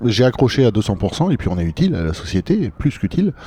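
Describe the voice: Fairly quick in pace, a man speaks with a dark, mellow tone.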